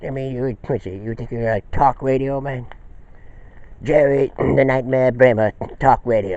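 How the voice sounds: The voice moves at a fairly slow pace with a slightly mellow tone. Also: man, medium pitch for a man, ordinary pitch variation.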